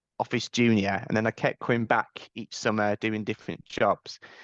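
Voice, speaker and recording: In a dry, close recording with no echo and a quiet background, a man speaks at a moderate pace and medium pitch with monotone, flat intonation. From East Midlands, England (Derby). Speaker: family law solicitor. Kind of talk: podcast interview. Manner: halting, many repetitions.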